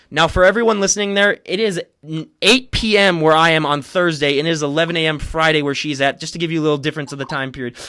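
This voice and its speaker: Bright and sharp in tone, a man talks at a very fast pace. His pitch is fairly high, with ordinary variation. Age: 20s. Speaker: podcast host. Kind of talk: casual podcast interview.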